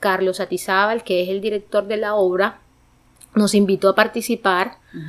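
A woman talks at a medium pitch and a moderate pace, her intonation monotone and flat. Her loudness swings widely. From Sucre, Caribbean coast of Colombia. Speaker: student leader and theatre performer. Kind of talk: interview. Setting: in Vancouver, Canada.

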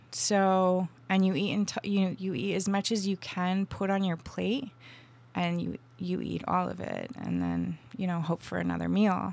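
On a very clean recording with a silent background, a woman with an American accent speaks at a fairly slow pace. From Vermont, US. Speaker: tea company founder. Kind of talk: interview conversation.

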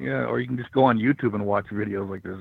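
A man with a normal speaking voice talks at a fairly low pitch with ordinary pitch variation. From Michigan, raised in Florida from childhood. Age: 50s. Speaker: former pro wrestler. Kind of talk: interview.

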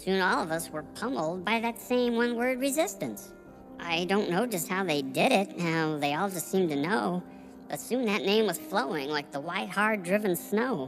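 A put-on character voice at a middle pitch moves at a moderate pace. Clear music plays in the background. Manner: dithering, rambling, flustered.

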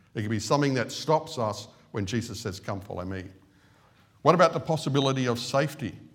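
A man talks at a very fast pace in a somewhat breathy voice. His medium pitch carries lively intonation. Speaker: lay preacher. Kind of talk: sermon. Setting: church. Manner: halting.

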